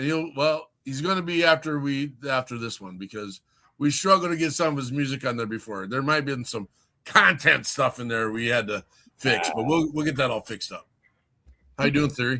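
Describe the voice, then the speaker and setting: A man speaks loudly at a fairly quick pace, with a bright, sharp tone and a fairly high pitch. His intonation is lively, and the recording is very clean with a silent background. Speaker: online radio show host. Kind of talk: casual interview chat. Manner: animated.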